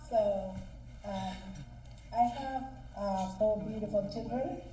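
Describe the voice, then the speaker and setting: Very slowly, a woman speaks at a medium pitch with fairly even intonation. Noticeable background noise and audible room echo surround her voice. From Sudan. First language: not English. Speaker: honoree speaker. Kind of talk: speech at a gala. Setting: stage with audience. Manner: halting.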